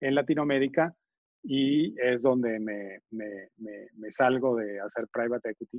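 Using fairly even intonation, a man speaks at a medium pitch in a normal speaking voice. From Venezuela. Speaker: venture capital investor. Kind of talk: interview.

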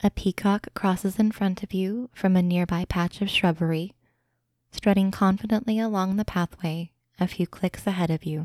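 A woman speaks in a plain, everyday voice at medium pitch and a moderate pace, with fairly even intonation and a dry, close sound with no echo. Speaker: guided imagery narrator. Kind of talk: guided meditation. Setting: podcast recording.

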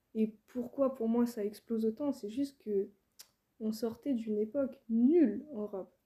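Fairly even intonation and a dark, mellow tone carry the speech at a fairly slow pace. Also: woman, fairly high pitch for a woman. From France, Île-de-France. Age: 20s. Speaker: rapper. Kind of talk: casual interview chat.

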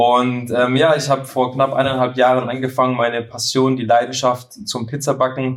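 This man keeps to a moderate pace. His voice sits at medium pitch. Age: 30s. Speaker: pizza baking content creator. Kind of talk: casual chat. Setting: studio couch, recording together. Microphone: poor sound quality in first episode.

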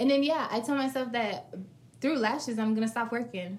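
A woman speaks at a moderate pace in a somewhat breathy, fairly high voice with ordinary pitch variation. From US South, Florida (Fort Pierce). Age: 20s. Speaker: lash and brow business owner. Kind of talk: casual chat.

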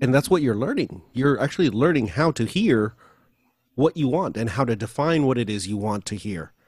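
Lively intonation from a man with an unremarkable speaking voice at medium pitch, on a very clean recording with a silent background. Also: moderate pace. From US, Filipino American. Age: 40s. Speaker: vocal coach and audio engineer. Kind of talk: interview.

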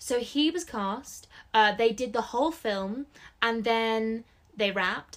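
At a very slow pace, a woman with a fairly high pitch speaks with an English accent. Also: ordinary pitch variation. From England. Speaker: book podcast co-host. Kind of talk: casual chat.

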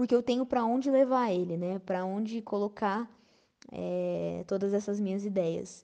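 A woman with a plain, everyday voice, at a moderate pace with ordinary pitch variation, over a quiet background. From Brazil, São Paulo state interior (Campinas/Valinhos). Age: 20s. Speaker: pianist and music teacher. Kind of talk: interview.

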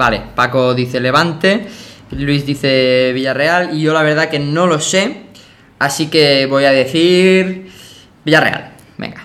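A man speaks at a very slow pace in a fairly high pitch, with audible room echo around him. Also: ordinary pitch variation. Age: 20s. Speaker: podcast host. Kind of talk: casual chat.

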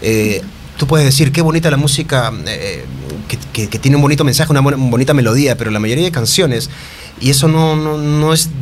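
A man's fairly high voice with ordinary pitch variation, at a fairly quick pace, amid audible room echo and noticeable background noise. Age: 30s. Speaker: singer-songwriter. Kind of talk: casual chat. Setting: studio.

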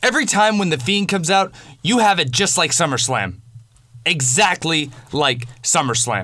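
A man's fairly high, bright, sharp voice with vocal fry, very wide pitch swings, very even loudness and a moderate pace. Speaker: wrestling commentator. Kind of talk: angry rant. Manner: angry, loud, cursing.

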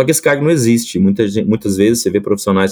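A man's fairly low-pitched voice, dark and mellow in tone, with ordinary pitch variation. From Brazil, Espírito Santo. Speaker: agronomist, product manager. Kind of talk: casual interview.

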